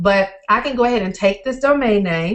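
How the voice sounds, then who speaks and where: Her medium-pitched voice keeps a fairly even intonation as the woman speaks. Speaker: online marketing trainer. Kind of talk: live webinar tutorial. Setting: live stream with screen share. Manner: fast; casual, filler-heavy.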